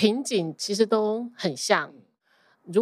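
A woman with a Taiwanese accent speaks at a very slow pace with ordinary pitch variation on a very clean recording with a silent background. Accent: Taiwanese-accented Mandarin. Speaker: accountant. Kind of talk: casual interview chat. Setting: podcast interview.

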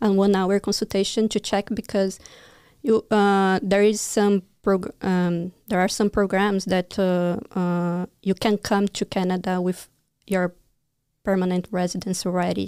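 A woman with a Brazilian accent speaks at medium pitch in a dark, mellow tone with monotone, flat intonation, on a very clean recording with a silent background. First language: Portuguese. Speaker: immigration consultant. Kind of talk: casual interview chat. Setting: studio livestream.

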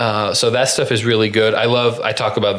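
A man speaks with a Midwestern American accent. His pitch is medium. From Indiana, US Midwest. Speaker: podcast host. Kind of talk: casual chat.

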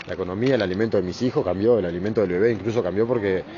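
A man talks at a very fast pace in a Uruguayan accent. His pitch is fairly low, and there is noticeable background noise. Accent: Uruguayan Rioplatense Spanish. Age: 30s. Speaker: unemployed market porter. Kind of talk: personal testimony interview. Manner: halting, with repetitions and fillers.

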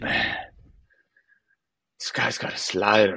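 A man uses a put-on character voice at a fairly low pitch.

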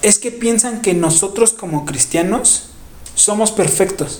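A man speaks at a fairly slow pace with ordinary pitch variation. Noticeable background noise runs underneath. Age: 30s. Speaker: podcast co-host. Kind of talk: casual chat.

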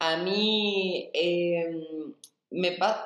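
The speaker has a Rioplatense accent, with audible room echo around the voice. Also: woman. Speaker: dance and movement teacher. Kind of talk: interview.

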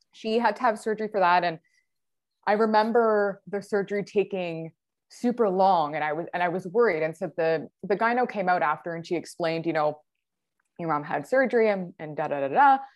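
In an ordinary speaking voice, a woman with a Canadian accent talks at a fairly quick pace at medium pitch, her intonation lively. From Ontario, Canada, near Niagara Falls. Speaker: endometriosis patient sharing her story. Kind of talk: casual interview, personal story.

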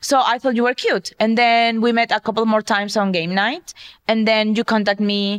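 Heard with a dry, close sound with no echo, a woman with a plain, everyday voice speaks at a moderate pace in a fairly high pitch with very even loudness. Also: fairly even intonation. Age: 30s. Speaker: podcast co-host. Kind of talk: casual chat.

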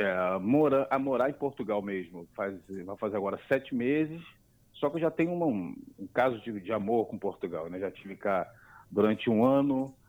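Using a plain, everyday voice, a man talks at a moderate pace and medium pitch with lively intonation. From Brazil, Niterói (Rio de Janeiro). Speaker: immigrant video creator. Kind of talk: casual chat.

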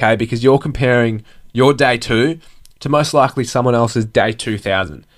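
A man with an Australian accent speaks at a medium pitch and a moderate pace. The recording is very clean, with a silent background. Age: 20s. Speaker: podcast host. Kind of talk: motivational monologue.

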